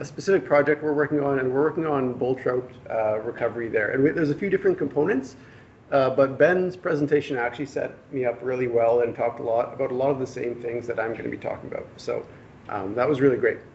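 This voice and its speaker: Against noticeable background noise, a man with a Canadian accent talks fairly quickly, his pitch fairly high with ordinary variation. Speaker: government fisheries biologist. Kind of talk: presentation. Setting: public workshop with audience. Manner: soft-spoken; hesitant, many fillers.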